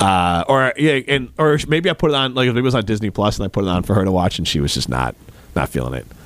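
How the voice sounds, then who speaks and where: With vocal fry and a fairly low pitch, a man speaks very fast with very wide pitch swings. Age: 40s. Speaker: radio host. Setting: studio. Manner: joking, bantering.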